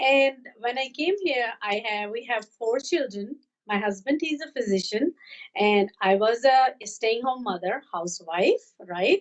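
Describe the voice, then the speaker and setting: Speaking at a fairly slow pace, a woman with a Pakistani accent has a fairly high pitch. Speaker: health and fitness coach. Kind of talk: live webcast interview. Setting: live online broadcast. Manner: energetic.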